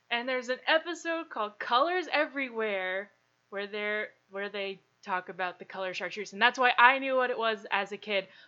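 Speaking at a moderate pace, a woman has an unremarkable speaking voice, a fairly high pitch and lively intonation. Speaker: podcast host. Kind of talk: casual chat.

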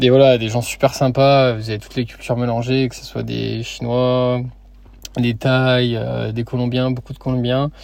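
Over noticeable background noise, a man of medium pitch speaks at a fairly slow pace in a monotone, flat way, with big swings in loudness. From France, Lyon. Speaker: podcaster, working holiday backpacker. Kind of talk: solo podcast monologue. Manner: casual, many fillers and repetitions.

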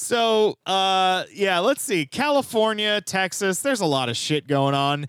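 A man with a high pitch, very wide pitch swings and very even loudness, at a fairly slow pace with hardly any pauses, on a very clean recording with a silent background. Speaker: podcast host. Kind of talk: casual comedic news-recap chat.

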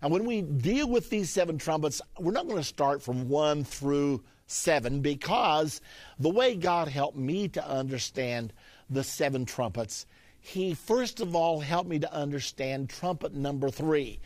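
In a very clean recording with a silent background, a plain, everyday voice with lively intonation moves at a fairly slow pace. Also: man, fairly high pitch for a man. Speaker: Bible prophecy teacher. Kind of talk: Bible lesson.

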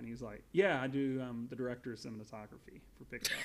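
In an American accent, a man of medium pitch speaks very fast with fairly even intonation. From US South. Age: 30s. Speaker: podcast guest, Pixar fan. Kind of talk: casual chat.

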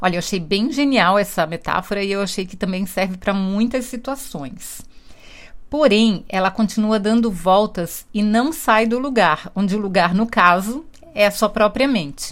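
Very clean recording with a silent background, featuring a woman with an unremarkable speaking voice. She talks at a moderate pace with medium pitch and ordinary pitch variation. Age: 50s. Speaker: book reviewer. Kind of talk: book review monologue.

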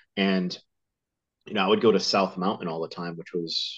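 With a Northeastern US accent, a man talks at a fairly quick pace in a very deep, low voice. His pitch varies in an ordinary way against a quiet background. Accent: American Northeast. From US Northeast, Connecticut. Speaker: survival instructor and author. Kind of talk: casual interview.

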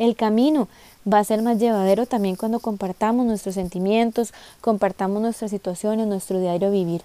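A woman with a Costa Rican accent, a dark, mellow tone, a fairly quick pace and fairly even intonation, in a dry, close sound with no echo. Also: medium pitch for a woman. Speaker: podcast host. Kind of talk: monologue.

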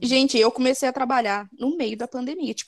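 In a very clean recording with a silent background and a dry, close sound free of echo, a woman speaks at a high pitch with ordinary pitch variation. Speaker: podcast co-host. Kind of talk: casual chat.

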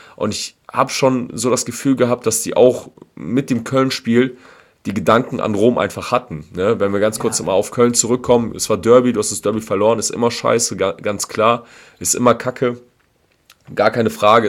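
The speaker is a man at medium pitch. He keeps a moderate pace. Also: fairly even intonation. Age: 30s. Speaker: football fan podcast co-host. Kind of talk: casual chat.

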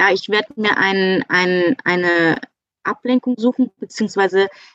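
A woman with an unremarkable speaking voice, medium pitch and ordinary pitch variation, at a fairly slow pace in a dry, close sound with no echo. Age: 30s. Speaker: virtual assistant. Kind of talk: casual interview. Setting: in-person studio.

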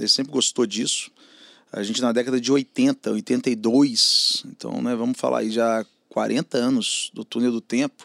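At a fairly slow pace, a man speaks in a dry, close sound with no echo. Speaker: advertising media entrepreneur. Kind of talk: casual interview chat.

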